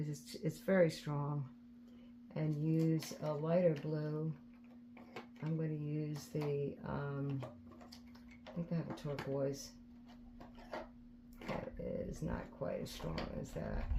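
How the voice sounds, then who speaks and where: Soft-spoken, very slow delivery full of long, frequent pauses. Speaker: resin art crafter. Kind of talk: tutorial. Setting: indoors at home. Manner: halting.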